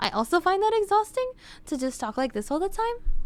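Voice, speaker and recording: In a put-on character voice, a woman speaks fairly quickly, her squeaky, extremely high pitch swinging very widely. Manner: tired.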